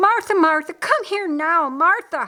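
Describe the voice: In a put-on character voice, a woman speaks at a fairly slow pace with extremely high pitch and a bright, sharp tone. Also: lively intonation.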